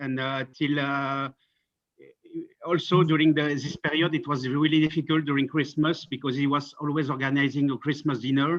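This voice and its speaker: A man with a French accent and a monotone, flat intonation. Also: fairly high pitch for a man, moderate pace. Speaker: friend of the deceased. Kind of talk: memorial tribute. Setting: video call. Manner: halting. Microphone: bad internet connection.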